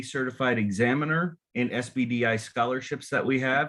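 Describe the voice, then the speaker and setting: At a moderate pace, a man speaks in an unremarkable speaking voice of medium pitch. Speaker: association chapter board member running meeting. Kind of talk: meeting announcements.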